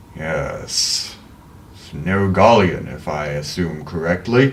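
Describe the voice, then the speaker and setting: This man uses a put-on character voice, pitched very deep and low. He talks at a very slow pace. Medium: actual play. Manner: measured, formal.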